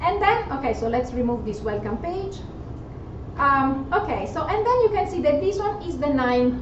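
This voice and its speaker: A woman's high-pitched voice with very wide pitch swings, a moderate pace, audible room echo and noticeable background noise. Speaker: software presenter at tech meetup. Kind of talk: live software demo tutorial. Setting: meetup talk with live audience.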